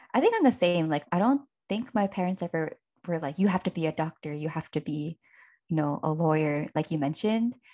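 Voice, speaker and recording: A woman with a normal speaking voice talks at a fairly quick pace and fairly low pitch, her intonation lively, in a dry, close sound with no echo against a quiet background. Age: 20s. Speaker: podcast co-host. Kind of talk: casual chat.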